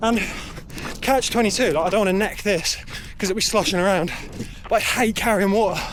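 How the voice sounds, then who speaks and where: With a southern English accent, a man speaks in a high pitch and fairly even intonation, with audible room echo and noticeable background noise. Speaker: amateur runner vlogger. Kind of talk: casual vlog while running. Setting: outdoors on a run.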